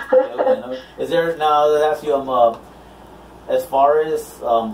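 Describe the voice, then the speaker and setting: With an American accent, a man talks at a fairly high pitch and with fairly even intonation over noticeable background noise. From Houston, Texas. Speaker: DJ and interviewer. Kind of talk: casual interview chat. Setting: live video stream. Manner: halting, many fillers.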